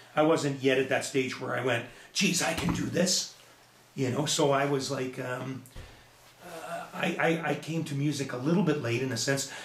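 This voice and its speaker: Amid noticeable background noise and audible room echo, a man with a Canadian accent speaks at a moderate pace, his fairly high pitch carrying fairly even intonation. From Edmonton, Alberta, Canada. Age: 60s. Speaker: musician and business owner. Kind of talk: casual interview chat.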